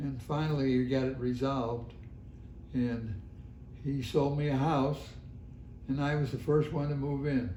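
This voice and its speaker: At a moderate pace with long, frequent pauses, a man with a fairly high pitch and a dark, mellow tone sounds somewhat breathy, his intonation fairly even amid audible room echo. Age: 90s. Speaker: longtime resident. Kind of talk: oral history interview. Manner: halting.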